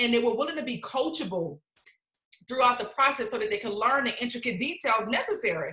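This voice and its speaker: A woman's high-pitched, animated voice at a very fast pace, with lively intonation and audible room echo. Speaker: network marketing team leader hosting a live stream. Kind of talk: motivational live stream. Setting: video call. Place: home room. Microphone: webcam.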